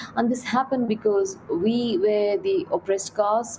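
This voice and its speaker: A woman with an Indian accent speaks at a moderate pace over light background noise. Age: 30s. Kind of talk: reading aloud and panel discussion. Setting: video call. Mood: calm, earnest. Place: home room. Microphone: webcam.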